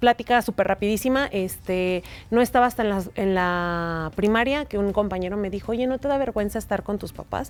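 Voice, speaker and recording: A woman talks at a fairly quick pace with a medium pitch and ordinary pitch variation. The recording is very clean, with a silent background. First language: Mexican Sign Language (speaking Spanish). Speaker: sign language interpreter. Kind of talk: interview.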